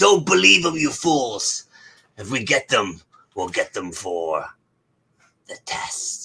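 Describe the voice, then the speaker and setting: A man does a put-on character voice at a medium pitch. He goes at a fairly slow pace, with long, frequent pauses. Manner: commanding.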